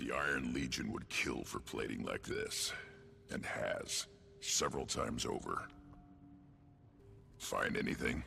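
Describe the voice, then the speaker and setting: At a fairly slow pace with long, frequent pauses, a man does a put-on character voice over clear background noise. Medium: video game. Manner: blunt, gruff.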